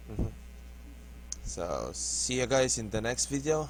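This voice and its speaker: This is a man speaking with a Filipino accent. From Philippines. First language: not English. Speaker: gaming YouTuber. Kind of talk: gameplay tutorial. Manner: halting.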